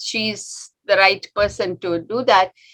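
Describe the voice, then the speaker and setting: At a very slow pace, a woman with an Indian accent speaks at a fairly high pitch with lively intonation. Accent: Indian English (Tamil). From India, Tamil Nadu (Chennai). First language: Tamil. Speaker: doctor. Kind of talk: talk to an audience. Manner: halting, many fillers.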